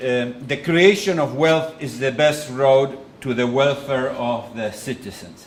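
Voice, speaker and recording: A man with an Argentine accent, medium in pitch, with audible room echo. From Argentina. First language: Spanish. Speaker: economist and think-tank president. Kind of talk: lecture with consecutive interpretation. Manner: halting.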